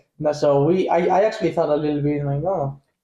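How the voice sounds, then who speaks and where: A man with a Spanish accent speaks at a moderate pace with a dark, mellow tone. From Spain. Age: 20s. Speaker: professional soccer player. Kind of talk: casual chat.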